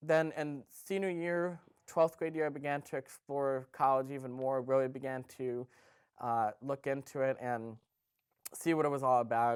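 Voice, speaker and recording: Speaking with an American accent, a man keeps a medium pitch. His pace is moderate and his intonation fairly even. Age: 20s. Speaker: community college student and self-advocate. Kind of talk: prepared webcast talk. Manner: hesitant, with fillers.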